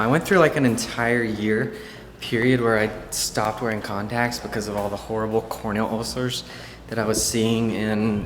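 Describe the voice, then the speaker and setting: A man at medium pitch delivers flat, monotone intonation at a fairly quick pace, with audible room echo. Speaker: ophthalmology resident and video blogger. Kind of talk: casual vlog narration. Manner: fast; casual, many fillers.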